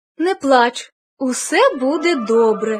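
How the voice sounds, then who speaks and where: A woman uses a put-on character voice. It sits high in pitch. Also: fairly slow pace. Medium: read story. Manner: warm, reassuring.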